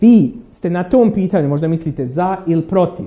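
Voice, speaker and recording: Pitched high, a man speaks with a dark, mellow tone. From Bosnia and Herzegovina, Derventa. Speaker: academic lecturer. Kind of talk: lecture.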